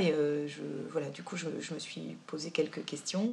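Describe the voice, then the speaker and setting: Noticeable background noise sits behind a woman with a very deep, low pitch. She speaks at a fairly slow pace with ordinary pitch variation. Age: 30s. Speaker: volunteer with migrant aid association. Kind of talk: documentary interview. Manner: halting, many hesitations.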